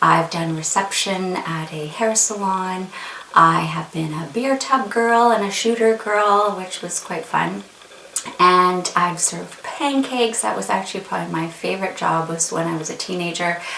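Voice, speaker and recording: At a moderate pace, a woman with a Canadian accent and a medium pitch talks with ordinary pitch variation, amid audible room echo and noticeable background noise. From Canada, Winnipeg. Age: 40s. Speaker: beauty vlogger. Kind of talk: casual chat.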